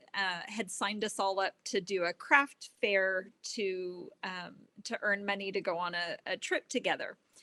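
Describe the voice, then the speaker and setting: A woman with a Texan accent speaks at a fairly slow pace in a medium pitch. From Texas. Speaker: test knitter. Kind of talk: casual interview chat.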